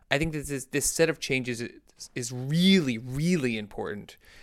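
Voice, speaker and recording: On a very clean recording with a silent background, a man speaks in a normal speaking voice at a medium pitch, with ordinary pitch variation and a moderate pace. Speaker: podcast co-host.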